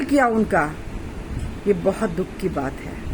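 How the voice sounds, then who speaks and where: A woman's lively intonation comes through against noticeable background noise. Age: 60s. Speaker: social commentator. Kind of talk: political monologue. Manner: impassioned.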